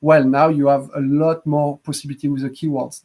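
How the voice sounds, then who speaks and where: This man has a fairly high pitch and speaks in a French accent. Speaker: app developer hosting a live stream. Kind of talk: live stream chat. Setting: Facebook Live video stream.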